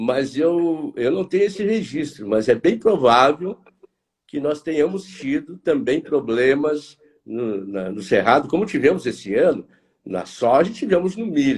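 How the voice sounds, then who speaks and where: Very wide pitch swings and vocal fry at a fairly slow pace. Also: man, fairly high pitch for a man. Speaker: market analyst, consultancy director. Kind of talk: live stream interview. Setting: online live stream. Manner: hesitant, repeats words.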